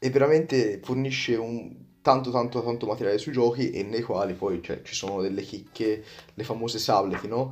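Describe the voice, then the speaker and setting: With ordinary pitch variation and a medium pitch, a man speaks at a moderate pace. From Tuscany, Prato. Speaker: magician. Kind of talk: podcast interview. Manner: halting, with repetitions.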